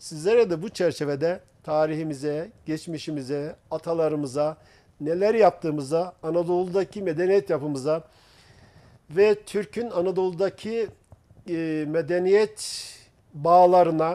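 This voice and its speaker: At a fairly slow pace, a man speaks with a high pitch, a dark, mellow tone and ordinary pitch variation. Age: 60s. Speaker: researcher and author on Turkish history. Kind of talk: TV talk show discussion.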